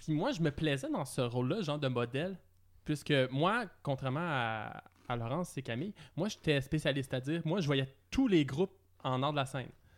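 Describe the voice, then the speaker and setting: The voice is a plain, everyday voice. Its pace is moderate and its pitch varies in an ordinary way. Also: man, fairly high pitch for a man, very clean recording, silent background. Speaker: podcast co-host. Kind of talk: casual chat.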